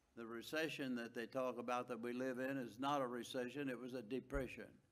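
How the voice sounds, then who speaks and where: A man's fairly quick, monotone, flat delivery with audible room echo. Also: medium pitch for a man. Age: 90s. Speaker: public commenter, property owner. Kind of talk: public comment at council meeting. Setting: city council meeting.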